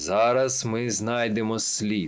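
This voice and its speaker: A man puts on a resonant character voice with a solemn tone. His pitch is medium and his intonation fairly even. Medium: read story. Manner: solemn, dignified.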